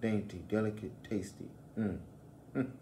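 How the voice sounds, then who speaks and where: A man's fairly low, dark, mellow and somewhat breathy voice, with audible room echo. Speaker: religious teacher. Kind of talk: bible lesson.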